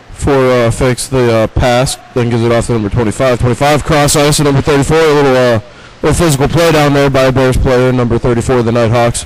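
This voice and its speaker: The speech runs at a very fast pace with very even loudness and fairly even intonation, over noticeable background noise. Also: man, medium pitch for a man. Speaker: play-by-play hockey commentator. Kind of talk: live sports commentary.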